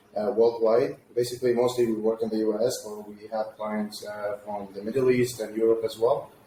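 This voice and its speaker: A man at a medium pitch with an Arabic accent, at a moderate pace with hardly any pauses, in a flat monotone with big swings in loudness, over noticeable background noise. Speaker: agency founder, web designer. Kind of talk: interview.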